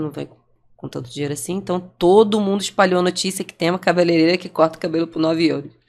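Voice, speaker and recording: A woman speaks with a Rio de Janeiro accent. Her pitch varies in an ordinary way. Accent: Brazilian Portuguese, carioca. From Brazil, Rio de Janeiro. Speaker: franchisee and entrepreneur. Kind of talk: podcast interview, personal story.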